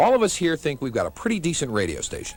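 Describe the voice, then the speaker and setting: Music plays in the background. A man speaks with very wide pitch swings. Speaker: radio station general manager. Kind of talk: radio station promo, humorous rant.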